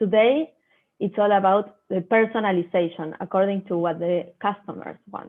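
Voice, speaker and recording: This is a woman speaking. She talks with a Spanish accent. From Argentina, Buenos Aires. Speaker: agribusiness innovation professional. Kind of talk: online talk presentation.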